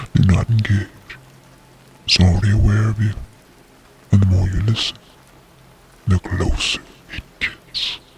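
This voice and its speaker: A man's fairly low voice at a moderate pace, monotone and flat, with long, frequent pauses and music in the background. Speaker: horror narrator. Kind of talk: first-person horror story reading.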